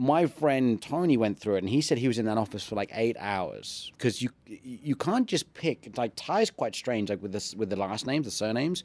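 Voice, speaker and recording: On a very clean recording with a silent background and dry, close sound without echo, the speaker uses lively intonation at a moderate pace in an English accent. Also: man, medium pitch for a man. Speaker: ring announcer and fitness YouTuber. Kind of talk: casual chat. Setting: studio.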